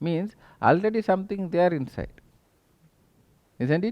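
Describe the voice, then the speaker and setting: A Tamil accent against a quiet background. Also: man. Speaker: spiritual teacher. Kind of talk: spiritual talk.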